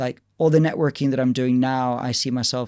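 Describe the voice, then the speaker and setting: A man with an American accent on a very clean recording against a silent background. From Spain. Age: 40s. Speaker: gym owner and tech founder. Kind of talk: podcast interview. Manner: halting, many fillers and restarts.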